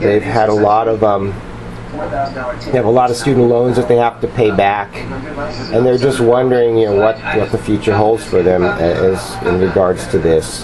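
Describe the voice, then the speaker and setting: Medium-pitched male voice at a moderate pace, with ordinary pitch variation, very even loudness and noticeable background noise. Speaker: tarot reader. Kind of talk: tarot reading to camera. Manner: hesitant, many fillers.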